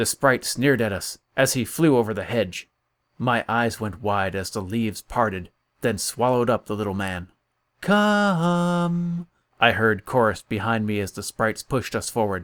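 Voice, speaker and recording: A man with a plain, everyday voice, medium pitch and lively intonation at a moderate pace, on a very clean recording with a silent background. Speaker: audiobook narrator. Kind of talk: audiobook narration.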